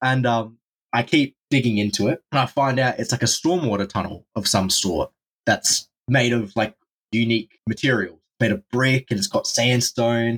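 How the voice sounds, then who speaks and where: A man's voice, very even in loudness and with ordinary pitch variation, comes through dry and close with no echo. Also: medium pitch for a man, moderate pace. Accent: Australian. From Australia. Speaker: drain explorer. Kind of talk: casual chat.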